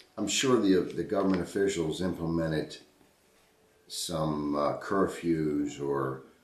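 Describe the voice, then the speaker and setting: Very deep, low-pitched man with an American accent and fairly even intonation, in audible room echo. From Baltimore, Maryland (Highlandtown). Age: 50s. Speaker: interviewee recalling history. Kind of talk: oral history interview. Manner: halting, many repetitions.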